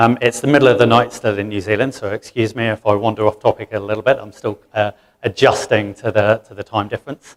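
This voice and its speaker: In a dry, close sound with no echo, a man talks very fast with hardly any pauses, at a medium pitch, in a monotone, flat intonation with big swings in loudness. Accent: English. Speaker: financial services manager. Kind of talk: conference presentation.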